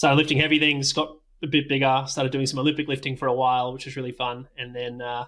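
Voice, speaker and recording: A very fast, monotone man's voice in an Australian accent, with big swings in loudness and a very clean recording over a silent background. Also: medium pitch for a man. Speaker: doctor, coach and tech startup worker. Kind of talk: interview.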